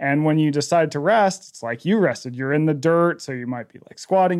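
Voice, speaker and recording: In a very clean recording with a silent background, a man with an ordinary speaking voice talks at a moderate pace, his fairly high pitch carrying lively intonation. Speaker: author. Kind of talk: interview conversation.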